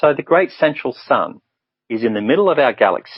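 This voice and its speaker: A lively, Australian-accented male voice. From Brisbane, Australia. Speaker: spiritual guidance counsellor. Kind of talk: radio interview answer.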